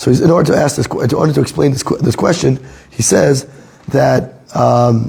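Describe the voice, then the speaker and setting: With noticeable background noise behind him, a man speaks at a moderate pace and a medium pitch, with ordinary pitch variation. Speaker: Torah teacher. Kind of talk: lecture. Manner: halting.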